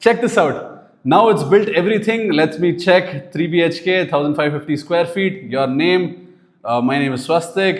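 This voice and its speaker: A man with an Indian accent talks at a moderate pace with hardly any pauses. His pitch is high, with ordinary variation. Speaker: business owner teaching AI tools. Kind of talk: tutorial. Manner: casual, conversational.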